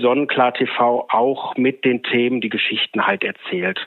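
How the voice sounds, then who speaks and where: This man's voice sits at a medium pitch and stays monotone and flat. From Ruhr area, Germany (Oberhausen). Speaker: agency owner. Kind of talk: interview. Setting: remote connection.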